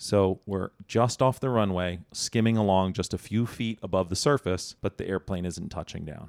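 Against a very clean recording with a silent background, a man uses a normal speaking voice at a fairly low pitch, moderate pace and ordinary pitch variation, with hardly any pauses. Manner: urgent, clipped and tense, narrating in the present tense.

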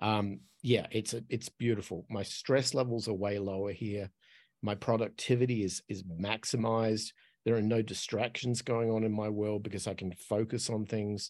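Against a quiet background, a man with an Australian accent speaks in a monotone, flat intonation. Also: fairly low pitch for a man, moderate pace. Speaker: podcast host and expat. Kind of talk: casual interview chat.

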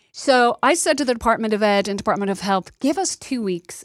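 A woman with an American accent and ordinary pitch variation, in a very clean recording with a silent background and a dry, close sound with no echo. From Ireland, Dublin. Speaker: nonprofit CEO. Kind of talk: interview.

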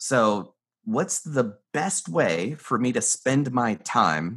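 Vocal fry runs through this man's medium-pitched voice, which carries an American accent. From US South, North Carolina mountains. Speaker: mentalist and business consultant. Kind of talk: interview conversation.

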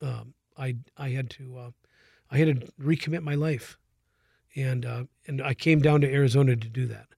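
Using an American accent, a man with a medium pitch and a dark, mellow, somewhat breathy tone speaks at a moderate pace in monotone, flat intonation, with big swings in loudness and long, frequent pauses. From Minnesota. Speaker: nonprofit public relations representative. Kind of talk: interview. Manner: halting.

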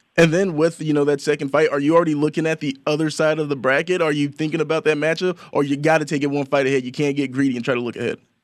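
The recording is very clean, with a silent background. The speech is very fast, with fairly even intonation. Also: man, fairly high pitch for a man, hardly any pauses. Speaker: radio host. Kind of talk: radio interview show. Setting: radio studio.

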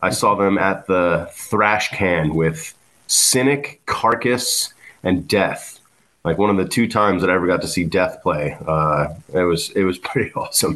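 With an American accent, the speaker talks at a fairly slow pace and very even loudness. Pitch variation is ordinary, and the background is quiet. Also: man, very deep, low pitch for a man. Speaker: punk musician. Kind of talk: casual chat. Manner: casual, filler-heavy.

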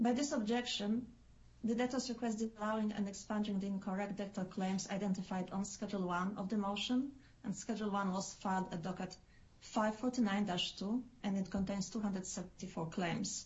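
With fairly even intonation and a somewhat breathy quality, the voice proceeds at a moderate pace. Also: woman, medium pitch for a woman. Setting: video call.

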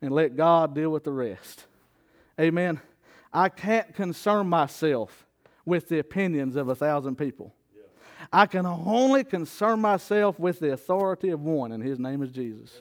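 At a moderate pace, a man with a fairly high voice speaks in an animated tone with lively intonation. The sound is dry and close with no echo, and the recording is very clean against a silent background. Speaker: preacher. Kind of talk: sermon. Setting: church with congregation. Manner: call-and-response, exhortative, rhetorical questions to congregation; animated, preaching cadence with laughs and asides.

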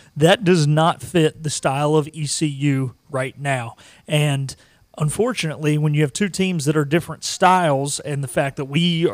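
A man speaks in an unremarkable speaking voice, fairly high in pitch, with fairly even intonation. The recording is very clean, with a silent background. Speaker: producer and co-host. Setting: in studio.

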